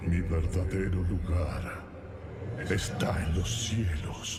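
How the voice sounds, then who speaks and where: Over loud background noise, a man uses a put-on character voice with a very deep, low pitch and a very slow pace. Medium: fan dub. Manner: stern, forceful.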